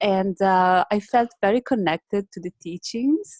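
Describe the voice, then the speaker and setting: A woman with an Italian accent at a fairly slow pace, ordinary pitch variation, a dry, close sound with no echo, and a quiet background. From northern Italy, Modena. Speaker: meditation teacher. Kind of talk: casual interview. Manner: halting, many fillers; gentle.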